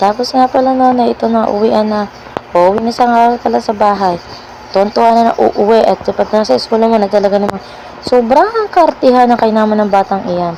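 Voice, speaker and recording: A woman's fairly high, fairly quick voice with ordinary pitch variation, over noticeable background noise. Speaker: mommy vlogger. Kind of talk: vlog voice-over narration. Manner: casual, chatty.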